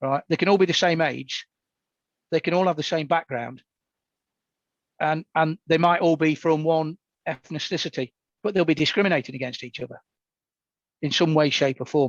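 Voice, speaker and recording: Against a quiet background in a dry, close recording with no echo, a man with an East Midlands accent speaks at a moderate pace in a fairly high pitch, with fairly even intonation and long, frequent pauses. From England, Nottingham. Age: 60s. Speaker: Paralympian. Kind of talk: podcast interview.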